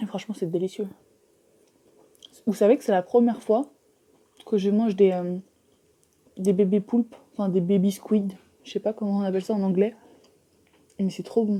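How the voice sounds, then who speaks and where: Somewhat breathy and dark, mellow in tone, a woman speaks at a moderate pace with fairly even intonation and long, frequent pauses. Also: medium pitch for a woman. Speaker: mukbang youtuber. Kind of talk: mukbang casual chat while eating. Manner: chewing, eating sounds.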